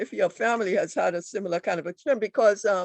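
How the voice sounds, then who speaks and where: Spoken with a Trinidadian accent at a moderate pace, the voice has ordinary pitch variation and a dry, close sound with no echo. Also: woman. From Trinidad and Tobago. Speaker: author. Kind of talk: book discussion. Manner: halting.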